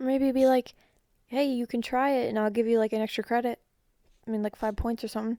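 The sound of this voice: A woman's fairly high voice with a dark, mellow tone, fairly quick pace and little pitch movement, dry and close with no echo, on a very clean recording over a silent background.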